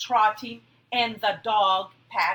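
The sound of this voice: An unforced reading voice delivers the passage.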